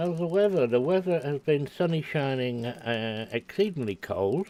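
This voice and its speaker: The speaker has a Scottish accent and lively intonation. The pace is moderate. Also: man, fairly high pitch for a man. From Scotland. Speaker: game streamer. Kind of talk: casual chat. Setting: live stream. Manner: halting.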